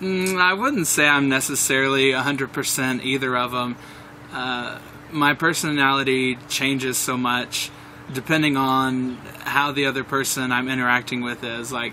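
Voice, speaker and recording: This man talks at a moderate pace and a medium pitch, with fairly even intonation. Noticeable background noise can be heard. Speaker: aspiring pastry chef, reality show applicant. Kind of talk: audition interview. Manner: loud.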